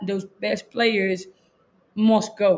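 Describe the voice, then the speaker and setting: A woman speaks at a fairly high pitch with monotone, flat intonation. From Chile. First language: Spanish. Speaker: college soccer coach. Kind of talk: casual interview chat.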